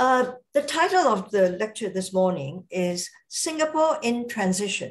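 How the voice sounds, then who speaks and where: Speaking at a fairly slow pace, a woman swings very widely in pitch. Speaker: invited distinguished lecturer. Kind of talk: lecture. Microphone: video call.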